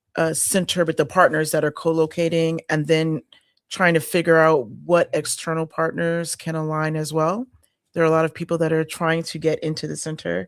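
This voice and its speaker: Speech comes at a moderate pace with an American accent. The recording is very clean and the background silent. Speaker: community center partnerships coordinator. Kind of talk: casual chat.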